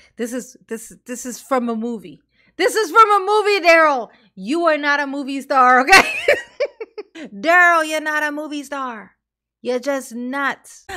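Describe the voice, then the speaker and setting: A woman's raised, projected voice, bright and sharp in tone, with lively intonation, big swings in loudness, a fairly slow pace and a quiet background. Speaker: streamer commentator. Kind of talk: reaction commentary. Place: home room. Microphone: studio mic.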